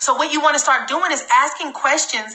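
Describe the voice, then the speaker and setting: Noticeable background noise is present. The voice is animated and fairly quick. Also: woman. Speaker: network marketing trainer. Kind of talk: live sales training. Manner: fast.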